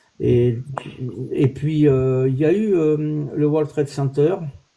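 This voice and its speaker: The voice belongs to a man with ordinary pitch variation. Its tone is dark and mellow. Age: 60s. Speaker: olive oil producer, livestream host. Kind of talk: casual chat. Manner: hesitant, many fillers.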